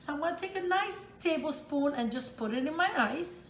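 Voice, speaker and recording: A woman's fairly slow speech amid noticeable background noise and audible room echo. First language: Italian. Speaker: home cook, cooking channel host. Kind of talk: cooking tutorial. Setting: home kitchen. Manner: casual, chatty.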